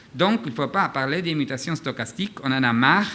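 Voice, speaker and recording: A man speaks with a non-native accent at a fairly high pitch. His intonation is lively and his tone bright and sharp. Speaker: physician, conference speaker. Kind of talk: lecture. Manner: halting, many hesitations.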